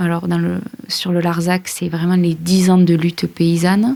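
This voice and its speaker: Using an ordinary speaking voice, a woman talks at a fairly slow pace with medium pitch and fairly even intonation. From France, Aveyron. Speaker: journalist and podcast creator. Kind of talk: interview.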